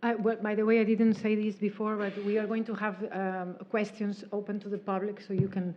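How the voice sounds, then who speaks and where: In a Spanish accent, a woman at medium pitch speaks at a fairly quick pace with monotone, flat intonation and hardly any pauses. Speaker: talk moderator. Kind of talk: public interview.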